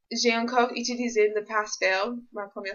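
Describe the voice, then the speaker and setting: A woman talks at a moderate pace. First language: English (speaking French). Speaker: university student vlogger. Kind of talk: vlog. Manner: halting, many hesitations.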